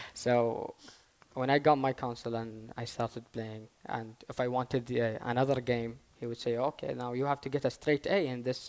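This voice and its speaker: A man with an Arabic accent, medium in pitch for a man, at a moderate pace and with fairly even intonation. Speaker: gaming YouTuber. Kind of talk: panel discussion. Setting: stage with audience. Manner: halting.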